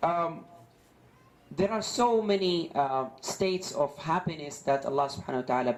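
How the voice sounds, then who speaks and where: A man speaks at a moderate pace with an Arabic accent and lively intonation, with audible room echo. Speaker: Islamic preacher. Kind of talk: religious lecture. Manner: halting, many fillers and repetitions.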